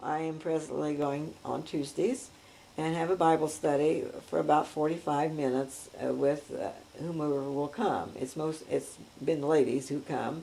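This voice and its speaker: In an American accent, a woman speaks at a fairly slow pace. Her pitch is very deep and low. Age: 70s. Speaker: grandmother telling her life story. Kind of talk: oral history interview. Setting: at her home. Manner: hesitant, many filler words.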